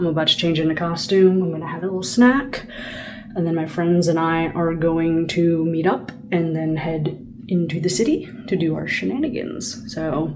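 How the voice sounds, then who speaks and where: Audible room echo and noticeable background noise surround a woman speaking at a fairly low pitch. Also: ordinary pitch variation, moderate pace. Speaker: vlogger. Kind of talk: travel vlog. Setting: hotel; airport. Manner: animated.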